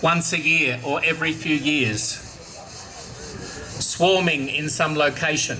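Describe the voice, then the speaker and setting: The man's voice is fairly high in pitch, and he talks at a fairly slow pace. The room echo is audible, and there is noticeable background noise. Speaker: archbishop. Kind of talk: catechetical talk to young audience.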